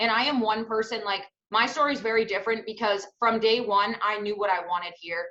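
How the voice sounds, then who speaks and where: A woman's loud, energetic voice at fairly high pitch, with a bright, sharp tone. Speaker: network marketing team leader. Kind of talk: testimony.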